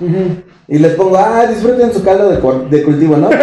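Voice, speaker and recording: With a Mexican accent, a man speaks in a high, dark and mellow voice with lively intonation, and audible room echo is present. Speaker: podcast co-host. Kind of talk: casual chat.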